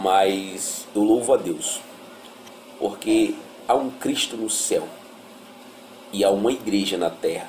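Noticeable background noise fills the recording. Through it, a man talks very slowly. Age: 30s. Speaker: former drug addict. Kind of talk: testimony.

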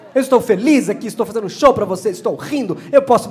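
Over noticeable background noise, a man with a high pitch speaks very fast in an animated tone with ordinary pitch variation. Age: 40s. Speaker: comedian. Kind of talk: stand-up. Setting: stage with audience.

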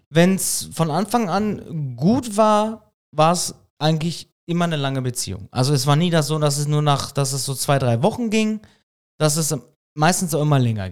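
A man's normal speaking voice, fairly high in pitch, with lively intonation and a moderate pace, on a very clean recording over a silent background. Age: 30s. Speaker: podcast co-host. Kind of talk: casual chat.

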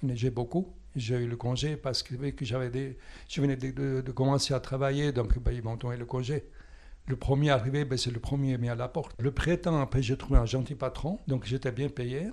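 At a moderate pace, a man with an Italian accent speaks at a medium pitch with fairly even intonation. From southern Italy (Calabria). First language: Italian (speaking French). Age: 80s. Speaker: retired musician and painter. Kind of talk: personal interview testimony. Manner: halting, repeats words.

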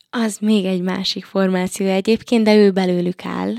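A fairly slow pace on a very clean recording, with a silent background and a dry, close sound with no echo. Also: woman. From Hungary, Paks area. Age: 20s. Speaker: singer, talent show contestant. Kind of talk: interview. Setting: studio. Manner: halting, many filler sounds.

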